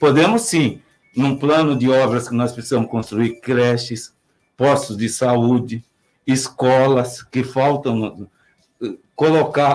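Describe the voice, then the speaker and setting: Speaking very slowly, a man keeps his voice at a medium pitch. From Brazil, Piracicaba (São Paulo state). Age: 60s. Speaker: mayoral candidate, retired civil servant. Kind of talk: political interview. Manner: halting.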